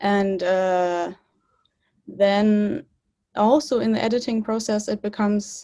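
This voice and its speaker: A woman speaks at a very slow pace, her dark, mellow tone showing ordinary pitch variation. Long pauses come often. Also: medium pitch for a woman, very clean recording, silent background. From Germany. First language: German and English (bilingual). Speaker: filmmaker. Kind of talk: interview. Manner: halting.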